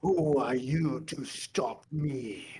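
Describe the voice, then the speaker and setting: A man does a put-on character voice. It is guttural and fairly high in pitch. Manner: menacing.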